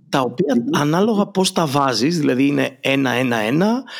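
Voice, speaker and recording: The speaker is a man with a fairly high pitch. His voice swings very widely in pitch. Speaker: podcast host and marketing consultant. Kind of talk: casual interview.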